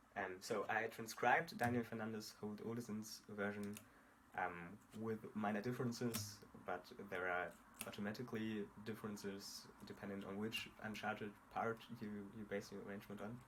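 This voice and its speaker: With a non-native accent, a man speaks at a moderate pace in a fairly low, monotone, flat voice, leaving long, frequent pauses over noticeable background noise. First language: not English. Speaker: guitar tutorial creator. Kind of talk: tutorial. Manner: halting, many fillers.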